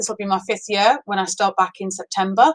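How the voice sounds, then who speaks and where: A woman speaks with a northeast English accent. The sound is dry and close, with no echo. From northeast England. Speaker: primary school teacher. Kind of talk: casual chat to pupils, then reading aloud.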